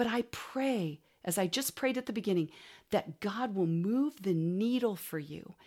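A woman with a medium pitch speaks at a moderate pace in an animated tone with lively intonation, on a very clean recording with a silent background. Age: 60s. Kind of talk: recorded workshop talk.

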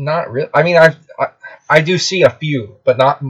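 A man speaks in a somewhat breathy voice. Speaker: podcast host; military veteran. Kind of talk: casual chat. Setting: in the back of a van.

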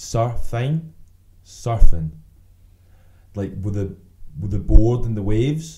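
A man with a strong Glasgow accent speaks very slowly at a medium pitch, with long, frequent pauses. His tone is dark, mellow and somewhat breathy, with lively intonation and big swings in loudness. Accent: strong Glaswegian Scottish. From Glasgow, Scotland. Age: 20s. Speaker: podcast co-host. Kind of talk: casual chat, swearing, banter. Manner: relaxed, joking.

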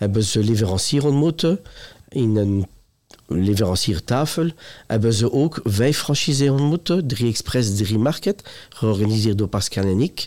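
In a very clean recording with a silent background, a man speaks at a moderate pace and medium pitch, his dark, mellow tone carrying lively intonation at very even loudness. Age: 50s. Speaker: retail executive. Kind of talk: interview. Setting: trade fair.

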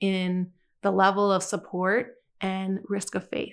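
A woman with an American accent talks at a fairly slow pace in an ordinary speaking voice, her pitch medium. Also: quiet background. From Michigan, US. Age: 40s. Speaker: church minister. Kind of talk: casual chat.

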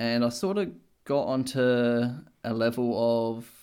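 A man with an Australian accent speaks at a medium pitch on a very clean recording with a silent background. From Australia, Adelaide. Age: 20s. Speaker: podcast co-host. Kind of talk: casual chat.

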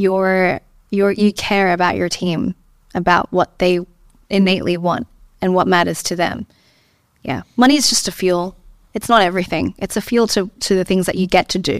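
In a very clean recording with a silent background, a woman at medium pitch speaks at a moderate pace with long, frequent pauses and fairly even intonation, the sound dry and close with no echo. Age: 20s. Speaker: entrepreneur. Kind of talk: interview. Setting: studio.

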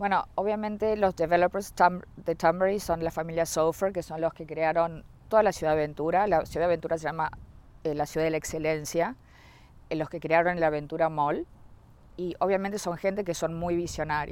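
A woman with a plain, everyday voice talks at a fairly quick pace, her fairly low pitch held in fairly even intonation. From Uruguay. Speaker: real estate sales executive. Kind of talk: interview.

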